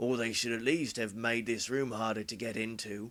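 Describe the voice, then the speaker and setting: Over a very clean recording with a silent background, a man does a raspy put-on character voice. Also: medium pitch for a man, moderate pace. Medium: read story. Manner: gruff, curt.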